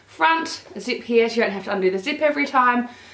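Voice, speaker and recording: A woman speaks in an animated tone at a moderate pace, with audible room echo and noticeable background noise. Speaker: fashion vlogger. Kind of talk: haul video.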